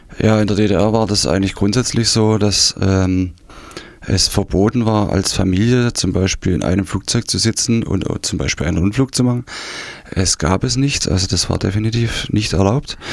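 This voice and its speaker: A man talks at a moderate pace with very even loudness. Noticeable background noise runs beneath him. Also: fairly low pitch for a man, ordinary pitch variation. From East Germany, Saxony (Dresden region). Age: 50s. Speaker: former GDR refugee. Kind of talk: interview testimony. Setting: radio studio. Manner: hesitant, many fillers.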